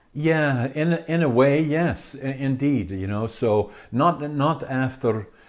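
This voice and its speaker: A man speaks with a Dutch accent and lively intonation against a quiet background. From Netherlands. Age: 80s+. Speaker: author and entrepreneur. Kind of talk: interview.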